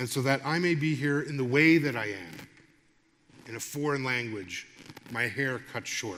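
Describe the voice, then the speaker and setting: This voice has a bright, sharp tone, ordinary pitch variation and a moderate pace, with audible room echo. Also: man. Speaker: lecturer and radio broadcaster. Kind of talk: public lecture. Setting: stage with audience.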